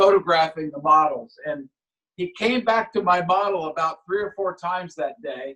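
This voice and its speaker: A man's high voice has a bright, sharp tone and ordinary pitch variation. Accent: American. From United States. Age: 70s. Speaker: scale model aircraft builder. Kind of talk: casual chat. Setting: video call.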